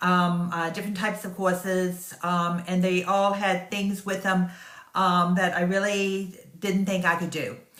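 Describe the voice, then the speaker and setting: Audible room echo surrounds a woman talking fairly slowly at a medium pitch in a flat monotone. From US South. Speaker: online business marketer. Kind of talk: casual sales pitch talk to camera. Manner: hesitant, many fillers.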